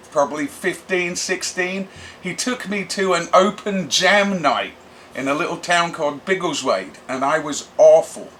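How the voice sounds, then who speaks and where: A man with an English accent speaks at a fairly slow pace in a high pitch with ordinary pitch variation. Noticeable background noise is present. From England, Bedford area. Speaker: punk vocalist and drummer. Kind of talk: casual interview monologue.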